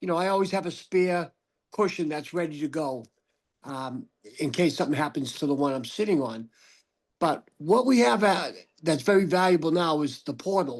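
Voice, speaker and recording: Against a quiet background, a man with a Boston accent speaks at a moderate pace, his fairly high pitch carrying lively intonation. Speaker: audience member with spinal cord injury. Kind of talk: casual remarks in Q&A.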